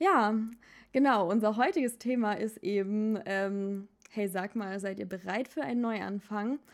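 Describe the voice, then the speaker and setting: A woman speaks at a fairly slow pace with a slight Swabian accent and ordinary pitch variation. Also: medium pitch for a woman. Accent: slight Swabian words. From Baden-Württemberg, Germany. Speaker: podcast host. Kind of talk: casual chat. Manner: animated.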